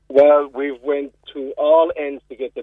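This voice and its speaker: This is a man speaking. He has a Cork accent. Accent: Cork Irish. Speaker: school board member. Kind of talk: radio interview. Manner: animated.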